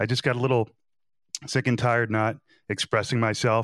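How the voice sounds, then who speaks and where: A man with a New Jersey accent at a fairly quick pace, in a very clean recording with a silent background and a dry, close sound with no echo. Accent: New Jersey American English. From US Northeast, New Jersey. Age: 30s. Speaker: law student and podcaster. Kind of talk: casual interview chat.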